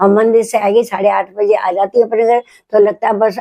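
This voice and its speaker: A woman's fairly high voice, dark and mellow in tone, is recorded dry and close with no echo. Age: 80s+. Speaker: grandmother sharing wellness routine. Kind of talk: casual interview chat.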